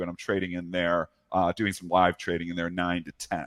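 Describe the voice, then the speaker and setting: A man talks at a fairly quick pace. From Canada. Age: 40s. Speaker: professional trader. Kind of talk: interview. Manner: conversational, with frequent fillers.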